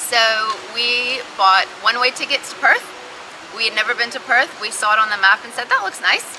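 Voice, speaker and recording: Over noticeable background noise, a woman talks at a fairly high pitch in a Texas accent. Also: moderate pace. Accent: American (Texas). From Texas, Austin. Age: 20s. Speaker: recruitment agency manager. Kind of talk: interview. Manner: animated.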